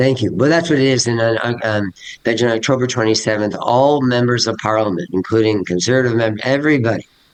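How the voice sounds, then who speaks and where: A man talks at a medium pitch and a very fast pace. His loudness stays very even, and his pitch varies in an ordinary way. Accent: Canadian. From Canada. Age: 60s. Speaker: teacher. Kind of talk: interview. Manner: halting.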